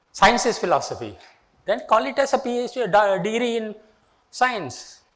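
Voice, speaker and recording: Amid audible room echo, a man with an extremely high pitch speaks at a moderate pace with ordinary pitch variation. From India, Tamil Nadu. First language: Tamil. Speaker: retired engineering professor. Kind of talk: lecture.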